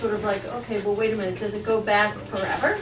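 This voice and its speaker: A woman talks over noticeable background noise. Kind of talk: meeting discussion. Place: meeting room. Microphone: camera far.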